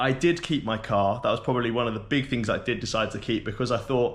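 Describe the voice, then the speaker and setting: A man with an English accent speaks at a medium pitch. His pace is fairly quick. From London, England. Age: 20s. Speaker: travel vlogger. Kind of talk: casual vlog chat to camera. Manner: casual, conversational with fillers.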